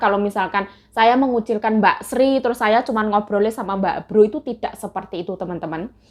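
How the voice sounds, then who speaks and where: A woman's voice is shrill, with ordinary pitch variation. She talks at a fairly quick pace. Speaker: migrant domestic worker vlogger. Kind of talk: casual mukbang vlog talk. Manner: chatty.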